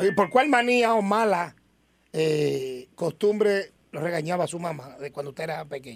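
Speaking in a Puerto Rican accent, a man with a high pitch uses lively intonation and big swings in loudness at a moderate pace. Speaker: radio reporter. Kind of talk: live radio segment. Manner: animated.

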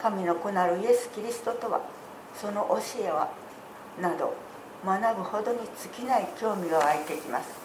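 Moderate pace and long, frequent pauses from a woman at a medium pitch, with ordinary pitch variation, audible room echo and noticeable background noise. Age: 70s. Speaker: church member giving testimony. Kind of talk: testimony. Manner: formal.

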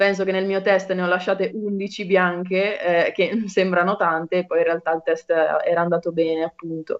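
A woman speaks at a medium pitch with monotone, flat intonation. Her moderate pace has hardly any pauses. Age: 20s. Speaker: medical student. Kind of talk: casual chat.

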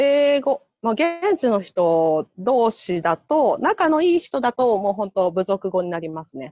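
A woman speaks at a fairly slow pace in a fairly high pitch, her pitch swinging very widely. The sound is dry and close, with no echo. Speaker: public health nurse volunteer. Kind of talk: casual chat.

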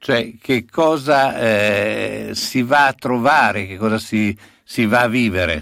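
A man talks at a medium pitch with ordinary pitch variation. His pace is very slow. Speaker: radio host. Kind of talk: casual radio chat. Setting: radio studio.

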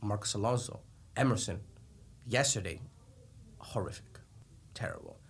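The voice sounds somewhat breathy. Its intonation is monotone and flat. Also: man. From Colombia. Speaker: soccer podcast co-host. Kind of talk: casual sports chat.

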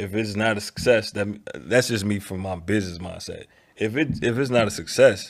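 With an American accent and a normal speaking voice, a man talks at a fairly quick pace and a fairly low pitch with ordinary pitch variation on a very clean recording with a silent background. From Chicago. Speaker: music producer and investor. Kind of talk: casual chat.

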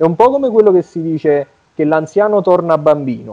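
Music can be heard in the background. The delivery has lively intonation. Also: man. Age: 30s. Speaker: bodybuilding champion and coach. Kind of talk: interview conversation.

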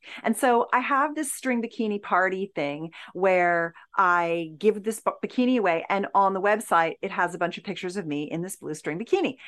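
Against a quiet background, a woman with a plain, everyday voice speaks at a moderate pace with a medium pitch and lively intonation. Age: 60s. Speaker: intimacy expert and author. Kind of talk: podcast interview.

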